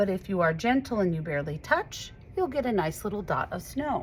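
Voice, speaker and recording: A woman's voice with vocal fry and very wide pitch swings, at a moderate pace. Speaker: art teacher. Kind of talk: tutorial. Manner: animated.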